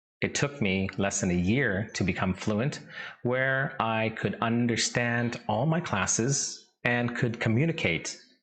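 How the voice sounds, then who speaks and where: A man talks very slowly. He has a Canadian accent. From Saskatchewan, Canada (Vietnamese-born). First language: Vietnamese. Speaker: English teacher. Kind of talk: tutorial.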